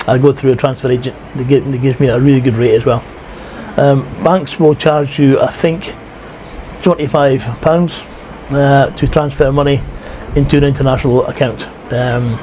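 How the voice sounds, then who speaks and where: In a Scottish accent, the speaker keeps a moderate pace and fairly even intonation, with long, frequent pauses. Noticeable background noise is present. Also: man. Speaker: retiree vlogger. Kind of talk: casual vlog talk. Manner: careful, toned-down speech; halting, many fillers.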